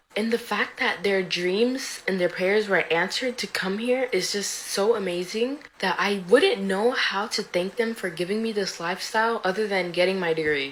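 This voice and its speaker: Over noticeable background noise, a woman with an American accent speaks at a moderate pace and medium pitch, with ordinary pitch variation and hardly any pauses. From United States. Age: 20s. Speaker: college student. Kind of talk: casual vlog monologue.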